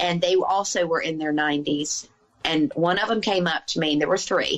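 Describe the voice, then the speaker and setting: A woman speaks with a Southern US accent in a fairly low pitch. Her pace is moderate, with ordinary pitch variation. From US South. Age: 50s. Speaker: author and healer. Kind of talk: podcast interview conversation.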